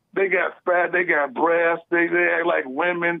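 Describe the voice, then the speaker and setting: This is a man speaking. He has an American accent. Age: 60s. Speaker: caller. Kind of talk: call-in talk show. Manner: animated, repetitive.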